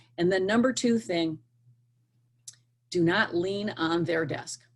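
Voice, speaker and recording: A woman's somewhat breathy voice at a fairly slow pace, in a very clean recording with a silent background. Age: 60s. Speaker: career coach / hiring expert. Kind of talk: interview advice. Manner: animated.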